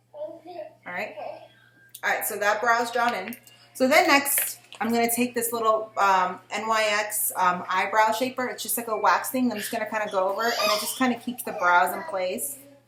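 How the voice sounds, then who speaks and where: Using an ordinary speaking voice, a woman talks at a moderate pace with a fairly high pitch. Her pitch varies normally while her loudness swings widely. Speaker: beauty vlogger. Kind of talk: tutorial. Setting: at home with her baby nearby. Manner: casual, with fillers.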